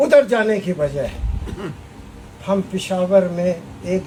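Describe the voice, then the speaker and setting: Over noticeable background noise, a man talks in a passionate tone with lively intonation. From Pakistan, Balochistan. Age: 70s. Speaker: lawyer and lawyers' movement leader. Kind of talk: political speech to a gathering. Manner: fiery, passionate, forceful.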